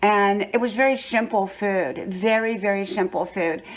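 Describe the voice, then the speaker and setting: In a plain, everyday voice, a woman talks at a medium pitch with fairly even intonation. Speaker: lifestyle vlogger. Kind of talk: storytelling. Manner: conversational.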